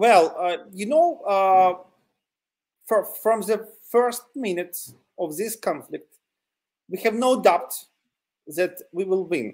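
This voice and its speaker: Speaking with a Ukrainian accent, a man uses a high pitch with ordinary pitch variation. His pace is very slow, broken by long, frequent pauses. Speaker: territorial defense volunteer. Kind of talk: interview. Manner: halting, many fillers.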